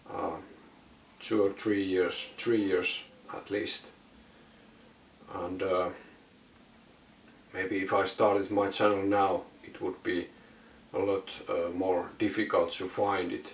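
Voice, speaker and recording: This man talks at a very slow pace with a non-native accent. Long, frequent pauses break up his speech. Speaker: vinyl collector YouTuber. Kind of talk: casual Q&A monologue. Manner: halting, many filler words.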